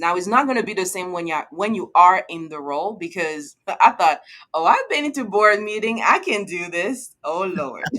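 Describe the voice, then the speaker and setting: A woman with a French accent, medium pitch and a bright, sharp tone, lively intonation, a moderate pace with hardly any pauses, and big swings in loudness. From Ivory Coast. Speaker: finance executive. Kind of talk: interview. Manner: clear.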